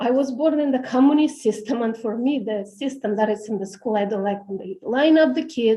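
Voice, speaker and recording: A woman with a Romanian accent talks at a fairly quick pace with hardly any pauses, her pitch fairly high and her pitch variation ordinary. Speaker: parent speaking at public hearing. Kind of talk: public comment testimony. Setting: city hall auditorium meeting.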